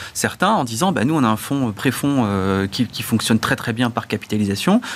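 A man at a medium pitch for a man, in a normal speaking voice, with lively intonation and a fairly quick pace. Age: 30s. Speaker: think tank research director. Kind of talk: debate.

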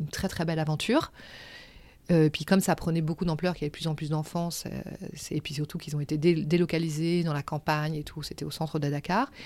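A woman with a very deep, low pitch and a dark, mellow tone talks at a very fast pace. Her intonation is fairly even, broken by long, frequent pauses. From Senegal (Gorée island, Dakar), then Paris from age 7. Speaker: artistic director of a crafts company. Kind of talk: interview, life story. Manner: hesitant, many fillers.

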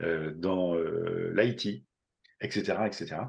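Fairly low male pitch with ordinary variation. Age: 50s. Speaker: entrepreneur and company leader. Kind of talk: casual interview. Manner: hesitant, with repeated words.

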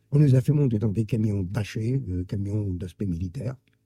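At a moderate pace, a man speaks in a somewhat breathy, dark, mellow tone with very wide pitch swings. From Germany, Karlsruhe. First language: German (speaking French). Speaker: Holocaust survivor. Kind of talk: testimony. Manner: halting.

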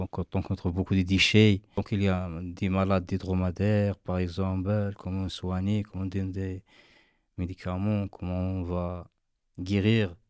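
A man's very deep, low voice, fairly slow in pace, with a monotone, flat delivery. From Morocco, desert nomad family. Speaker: desert nomad. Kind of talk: interview. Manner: halting.

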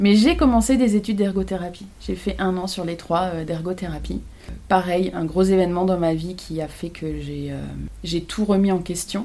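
A woman talks at a moderate pace. There is audible room echo. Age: 30s. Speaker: photographer. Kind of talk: casual chat. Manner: halting.

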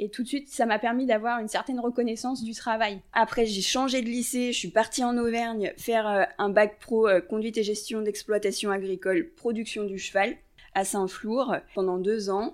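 Speaking at a moderate pace, a woman uses a plain, everyday voice with ordinary pitch variation. The recording is very clean, with a silent background. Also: fairly high pitch for a woman. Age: 30s. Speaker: equine and canine massage therapist. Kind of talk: casual interview.

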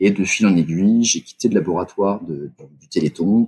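A man's dark, mellow voice moves at a fairly slow pace. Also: dry, close sound with no echo. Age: 40s. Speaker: fundraising and communications director. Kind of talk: interview. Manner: halting, with frequent repetitions.

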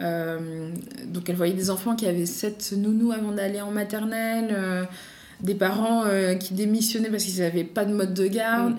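A woman with fairly even intonation, amid noticeable background noise and audible room echo. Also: medium pitch for a woman. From Paris, France. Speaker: doctoral student and association co-founder. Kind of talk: interview.

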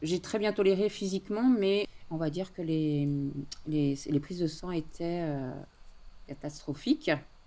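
Very slow in pace, a woman talks in a dark, mellow tone with lively intonation. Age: 40s. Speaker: guest living with multiple sclerosis. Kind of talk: personal testimony interview. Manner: hesitant with frequent fillers.

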